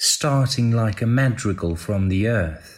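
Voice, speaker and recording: Here a man speaks at a medium pitch, somewhat breathy. His intonation is lively and his pace very slow. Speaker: voiceover artist. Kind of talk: poetry reading. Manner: exuberant, animated, joyful.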